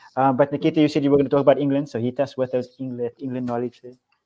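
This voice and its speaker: This man speaks very fast with a non-native accent. His tone is dark and mellow, and his intonation stays flat and monotone. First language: not English. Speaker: football podcast host. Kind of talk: casual chat.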